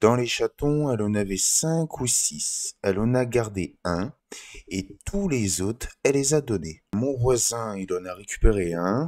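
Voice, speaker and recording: The speaker talks at a very slow pace with lively intonation. The recording is very clean, with a silent background. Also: man, medium pitch for a man. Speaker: vlogger. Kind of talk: casual vlog storytelling. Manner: halting, stumbling over words.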